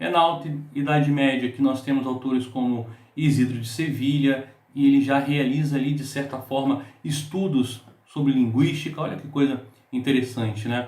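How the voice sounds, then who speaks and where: A man speaks at a moderate pace and a fairly high pitch, with fairly even intonation. There is audible room echo around his voice. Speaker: book reviewer. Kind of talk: book review monologue.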